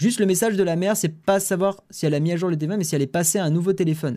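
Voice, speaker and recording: A man talks at a very fast pace with ordinary pitch variation. The recording is very clean, with a silent background. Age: 20s. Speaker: tech news streamer. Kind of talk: live stream chat with viewers. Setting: live stream. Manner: casual, hesitant with many fillers.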